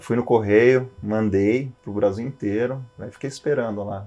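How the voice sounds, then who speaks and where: A man with an ordinary speaking voice talks at a fairly low pitch and moderate pace. His intonation is fairly even, and the background is quiet. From Switzerland, then Brazil from age ten (Santos). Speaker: airline/executive pilot. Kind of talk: podcast interview. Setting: flight simulator cockpit. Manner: casual, conversational.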